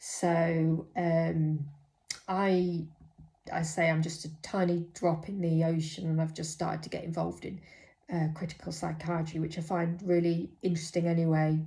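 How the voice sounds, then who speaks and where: Somewhat breathy and fairly low for a woman, her voice has a dark, mellow tone and flat, monotone intonation, with audible room echo. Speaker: mental health nurse. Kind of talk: personal vlog monologue. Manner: hesitant, many fillers.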